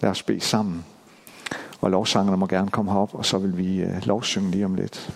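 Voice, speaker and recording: Noticeable background noise sits under a man's very deep, low voice. He talks at a moderate pace with monotone, flat intonation. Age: 50s. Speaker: pastor. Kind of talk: sermon. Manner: halting.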